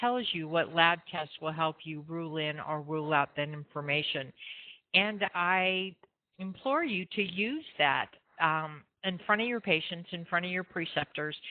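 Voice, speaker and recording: In a plain, everyday voice, a woman talks at a fairly slow pace with ordinary pitch variation. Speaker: nursing instructor. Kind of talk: lecture. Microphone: feedback on the line.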